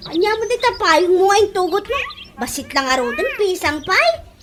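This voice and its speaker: A woman speaks at a moderate pace in a put-on character voice with an extremely high pitch. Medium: audio drama.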